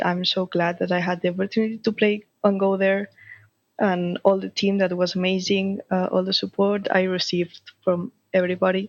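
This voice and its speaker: In a Spanish accent, a woman talks at a moderate pace with medium pitch. Her intonation stays monotone and flat against a quiet background. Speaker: flag football player. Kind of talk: interview. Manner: halting.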